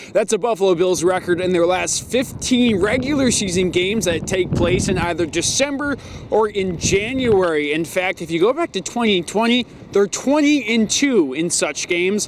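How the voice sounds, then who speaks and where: Over noticeable background noise, a man with a high pitch speaks at a moderate pace with lively intonation. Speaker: sports anchor and reporter. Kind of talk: TV sports news report.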